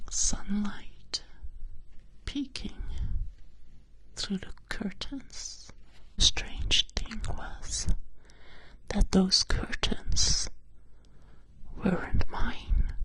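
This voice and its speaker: The voice whispers at a very slow pace. Long, frequent pauses break up the speech. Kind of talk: ASMR bedtime story roleplay. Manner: soft-spoken, relaxing, whispery.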